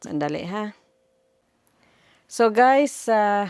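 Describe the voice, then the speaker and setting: A woman's speech moves at a very slow pace on a very clean recording where the background is silent. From Philippines. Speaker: vlogger. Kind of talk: casual vlog.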